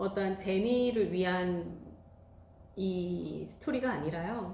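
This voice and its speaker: A woman speaks at a very slow pace with ordinary pitch variation. Noticeable background noise and audible room echo fill the recording. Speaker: rice cake class instructor and YouTuber. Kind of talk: casual vlog talk to viewers.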